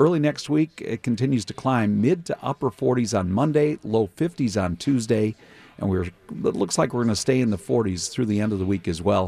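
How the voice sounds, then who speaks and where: A dark, mellow tone with lively intonation, in an American accent, with a dry, close sound and no echo. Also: man, medium pitch for a man, moderate pace. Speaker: TV weather forecaster. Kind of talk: weather report. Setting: remote link from weather center.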